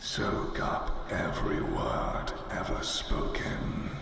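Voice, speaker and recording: In a put-on character voice, a man whispers at a very slow pace amid strong echo and loud background noise. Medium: game stream. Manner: eerie, condescending, theatrical.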